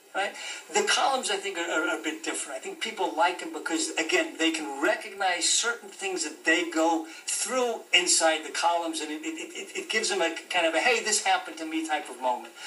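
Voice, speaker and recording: The fairly quick speech, in an American accent, comes with noticeable background noise and audible room echo. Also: man. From US, Denver, Colorado. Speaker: journalist and author. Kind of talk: interview. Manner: halting, many repetitions.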